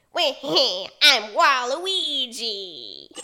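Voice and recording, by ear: A female-sounding, high-pitched voice is put on as a character voice.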